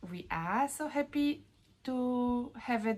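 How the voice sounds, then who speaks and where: A woman speaks in a somewhat breathy voice with a strong Polish accent. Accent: Polish, Eastern European, strong. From Poland. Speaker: knitting vlogger. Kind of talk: casual vlog talk. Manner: halting, many fillers. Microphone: lower quality recording, no new camera yet.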